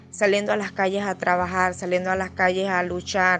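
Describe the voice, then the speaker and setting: This woman has a medium pitch and a monotone, flat intonation. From Venezuela. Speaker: refugee, former lawyer. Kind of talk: testimony.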